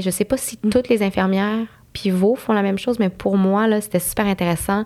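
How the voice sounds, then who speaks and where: A woman with a plain, everyday voice of medium pitch speaks at a moderate pace on a very clean recording with a silent background. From Montreal anglophone community. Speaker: nurse. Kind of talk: casual interview.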